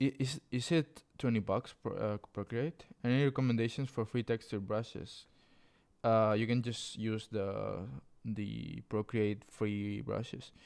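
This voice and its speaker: A man with a Spanish accent talks at a fairly slow pace and medium pitch, with fairly even intonation. The recording is very clean, with a silent background. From Spain. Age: 20s. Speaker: clothing designer streamer. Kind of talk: live stream tutorial chat. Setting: live stream. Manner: casual, reading chat aloud.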